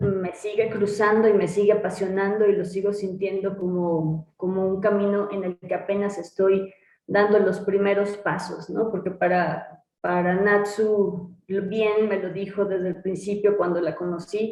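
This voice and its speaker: Speaking at a fairly slow pace with hardly any pauses, a woman uses a medium pitch and a Mexican accent. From Mexico. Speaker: butoh dancer and teacher. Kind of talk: interview answer.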